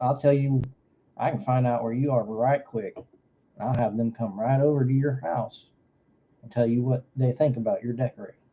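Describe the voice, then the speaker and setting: A man with a medium pitch talks at a moderate pace, his voice somewhat breathy. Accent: Southern US. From Florida. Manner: folksy, joking.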